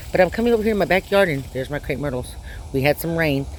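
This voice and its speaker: There is noticeable background noise. Over it, a woman speaks with lively intonation. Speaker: shift worker. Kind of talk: casual talk to camera. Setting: outdoors. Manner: rambling, halting.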